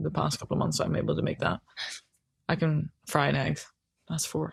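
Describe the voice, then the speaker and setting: Fairly quick speech in a Dutch accent, with very even loudness. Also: woman. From Netherlands. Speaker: hockey goalkeeper. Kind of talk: casual chat. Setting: on a sofa at home.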